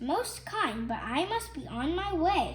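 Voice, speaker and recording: A woman puts on a squeaky character voice at a fairly slow pace, with clear background noise. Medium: read story. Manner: soft, polite.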